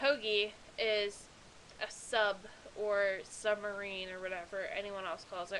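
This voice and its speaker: An American accent and a bright, sharp tone mark this woman's voice. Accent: thick Pennsylvania accent, per others. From central Pennsylvania, near Lock Haven. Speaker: video blogger. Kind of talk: casual vlog, partly reading an email aloud. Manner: casual, chatty with fillers.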